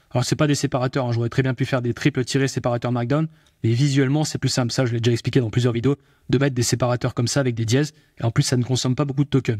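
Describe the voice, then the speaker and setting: A man speaks at a very fast pace in a monotone, flat delivery, his pitch medium and his voice somewhat breathy. The recording is very clean with a silent background, and the sound is dry and close with no echo. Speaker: AI tutorial youtuber. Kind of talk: tutorial. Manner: speeds up as he goes, gets fired up.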